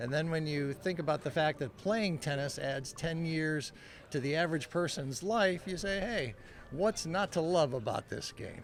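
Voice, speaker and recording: A man with an American accent talks in a normal speaking voice at a fairly high pitch. He keeps a moderate pace and ordinary pitch variation. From California. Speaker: senior tennis player. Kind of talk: interview.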